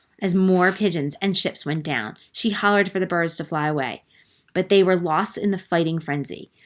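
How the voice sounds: The voice is a natural reading voice. It reads steadily through.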